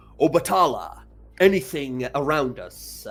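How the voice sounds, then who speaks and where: Over faint background music, a man puts on a character voice at a fairly high pitch and a moderate pace. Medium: actual play. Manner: commanding.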